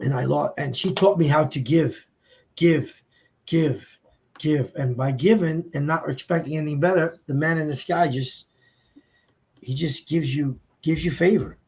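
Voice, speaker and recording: A man's somewhat breathy, fairly high-pitched voice, with long, frequent pauses. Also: ordinary pitch variation, moderate pace. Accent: American. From New Jersey, Hudson County. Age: 60s. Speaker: businessman and former drug dealer sharing his story. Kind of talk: panel discussion, testimony. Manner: animated.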